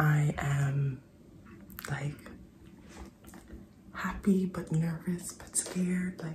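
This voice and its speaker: Over noticeable background noise, a woman with a very deep, low pitch speaks at a very slow pace with long, frequent pauses and fairly even intonation. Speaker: mom vlogger. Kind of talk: personal video diary.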